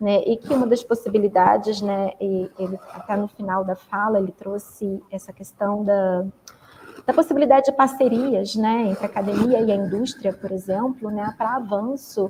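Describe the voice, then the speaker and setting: Amid noticeable background noise, a woman talks at a fairly quick pace with ordinary pitch variation. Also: medium pitch for a woman. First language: Portuguese. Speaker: professor. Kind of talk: moderating a conference Q&A. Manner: hesitant, many fillers.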